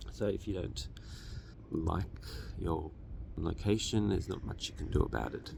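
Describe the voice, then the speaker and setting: A man's very deep, low voice with very wide pitch swings, noticeable background noise and audible room echo. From Australia. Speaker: finance educator. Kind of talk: lecture.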